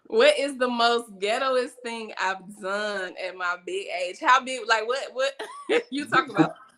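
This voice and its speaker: A high-pitched woman's voice, fairly slow and lively in intonation, with big swings in loudness and noticeable background noise. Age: 20s. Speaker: actress and show host. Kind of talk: interview.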